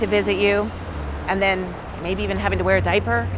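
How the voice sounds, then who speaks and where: A woman talks at a fairly quick pace. Noticeable background noise can be heard behind her. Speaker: mindset coach. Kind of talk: motivational talk to camera.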